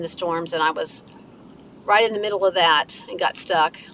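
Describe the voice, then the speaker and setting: Amid noticeable background noise, a woman with an American accent speaks at a moderate pace in a monotone, flat intonation. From West Virginia. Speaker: live streamer. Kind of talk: casual chat. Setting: in a car.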